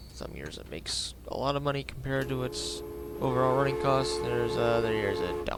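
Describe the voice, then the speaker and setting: A man is speaking at a fairly quick pace. Music plays in the background. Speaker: gaming video creator. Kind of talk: casual gameplay commentary.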